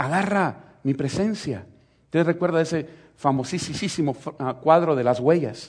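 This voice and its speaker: Speaking in a Salvadoran accent, a man talks at a fairly slow pace in a fairly high pitch with ordinary pitch variation. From El Salvador. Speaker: pastor. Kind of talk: sermon.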